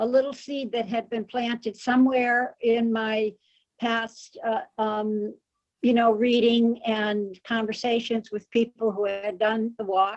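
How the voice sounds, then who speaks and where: A woman speaks at a fairly slow pace. Her fairly high voice carries monotone, flat intonation. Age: 80s+. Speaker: pilgrim sharing experience. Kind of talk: casual group discussion. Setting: video call. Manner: halting.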